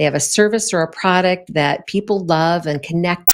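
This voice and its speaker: A woman speaks at a moderate pace in a plain, everyday voice with a medium pitch. The recording is very clean, with a silent background. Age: 60s. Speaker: podcast host. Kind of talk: solo podcast talk on leadership. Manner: conversational, with frequent fillers.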